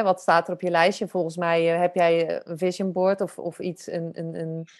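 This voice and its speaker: Against a quiet background, a woman speaks fairly slowly with a slight Zeeland accent. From Zeeland, Netherlands. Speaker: photographer and podcast host. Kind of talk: podcast interview.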